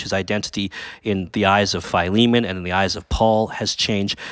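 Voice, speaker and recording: This man has fairly low pitch and fairly even intonation, delivered at a moderate pace in a plain, everyday voice. The recording is very clean, with a silent background. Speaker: pastor and camp speaker. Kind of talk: casual interview about a sermon.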